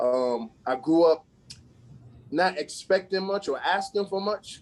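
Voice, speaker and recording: Against music in the background, a man speaks at a moderate pace with lively intonation. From US Virgin Islands, Saint Croix. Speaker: assistant basketball coach. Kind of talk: interview. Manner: casual, filler-heavy.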